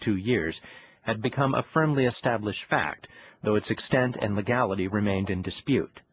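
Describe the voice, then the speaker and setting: Somewhat breathy, a man speaks at a medium pitch. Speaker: audiobook narrator. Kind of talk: scripted magazine narration, read aloud. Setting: studio. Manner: formal, measured newsreader delivery; polished, steady and even-paced.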